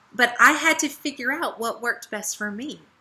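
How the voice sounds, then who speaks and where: In an American accent, a woman speaks with a high, bright, sharp voice. Her tone is animated, with lively intonation at a moderate pace. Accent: Southern US accent, strong at times. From US South. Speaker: essential oils team leader. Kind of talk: training talk. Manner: casual.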